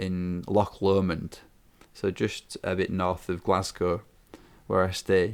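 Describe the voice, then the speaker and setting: In a Yorkshire accent, a man speaks at a very slow pace with a very deep, low pitch. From northern England, Yorkshire. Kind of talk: interview. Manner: hesitant, many fillers and repeats.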